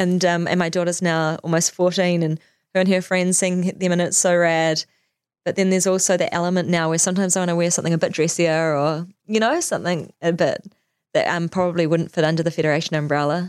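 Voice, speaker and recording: In a very clean recording with a silent background, a woman with a New Zealand accent speaks very fast at a fairly low pitch, her intonation monotone and flat and her loudness very even. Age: 40s. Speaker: fashion designer and business owner. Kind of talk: interview.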